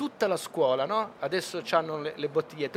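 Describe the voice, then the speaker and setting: Here a man is talking. His pitch swings very widely. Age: 50s. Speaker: film director and author. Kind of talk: interview. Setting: radio stand at a book fair.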